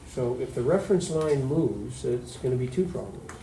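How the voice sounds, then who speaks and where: Against noticeable background noise and audible room echo, a man talks at a fairly quick pace and a medium pitch. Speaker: high school chemistry teacher. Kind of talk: classroom lecture. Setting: classroom. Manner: fast.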